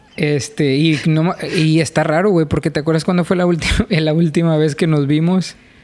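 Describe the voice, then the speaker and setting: A fairly high-pitched male voice at a moderate pace, with fairly even intonation, very even loudness and noticeable background noise. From Mexico, Reynosa. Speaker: podcast co-host. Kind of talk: casual chat.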